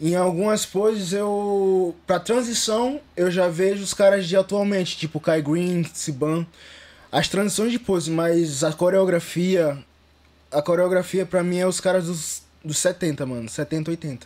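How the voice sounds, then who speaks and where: Speaking at a fairly slow pace, a man has a high pitch. It varies in an ordinary way. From Northeast Brazil, Recife; Northeast Brazil. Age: young. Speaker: bodybuilder; podcast guest. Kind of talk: interview. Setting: studio. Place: studio. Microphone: studio mic.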